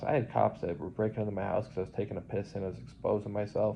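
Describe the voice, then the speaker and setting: Vocal fry from a man at a fairly low pitch and a very fast pace. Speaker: vlogger in nursing home. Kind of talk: personal testimony monologue. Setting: nursing home. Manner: rambling, halting with fillers.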